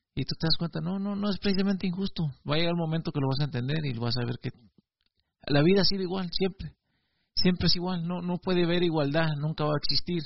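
Talking very fast, a man uses a high pitch. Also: ordinary pitch variation. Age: 40s. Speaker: video blogger. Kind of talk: reflective monologue. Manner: halting, with frequent repetitions.

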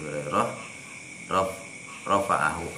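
A man over noticeable background noise. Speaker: religious teacher. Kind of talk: study session reading hadith aloud.

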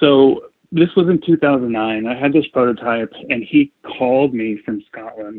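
A man's ordinary speaking voice, medium in pitch with ordinary pitch variation, fairly slow, with big swings in loudness. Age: 40s. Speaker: bicycle frame builder. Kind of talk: interview. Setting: call.

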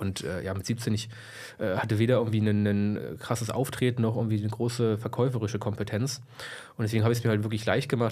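A man talks at a very fast pace with a medium pitch and fairly even intonation. His tone is dark and mellow, and somewhat breathy. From Lower Saxony, Germany (Braunschweig area). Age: 20s. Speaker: entrepreneur, financial services. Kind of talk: interview, casual chat.

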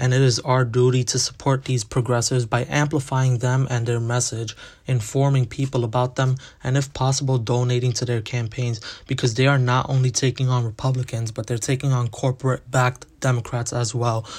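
A man with a medium-pitched, somewhat breathy voice speaks at a fairly quick pace in a flat monotone, on a very clean recording with a silent background. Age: young. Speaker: podcast host. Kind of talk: solo podcast monologue.

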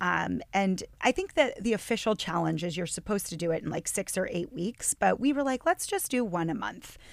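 A woman at a fairly quick pace with hardly any pauses, in a very clean recording with a silent background. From northwestern Pennsylvania. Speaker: yoga and meditation teacher. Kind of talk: casual chat.

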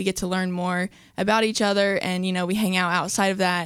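Recorded very cleanly with a silent background, a woman with an American accent speaks at a medium pitch and a fairly quick pace. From West Virginia (Charleston). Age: young. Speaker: college athlete. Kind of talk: radio interview.

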